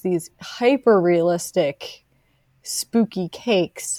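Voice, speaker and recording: A woman with an American accent has a dark, mellow tone and medium pitch, her intonation fairly even. The sound is dry and close, with no echo. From US, Delaware County near Philadelphia. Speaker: author and librarian. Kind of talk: interview conversation. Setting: remote call from home.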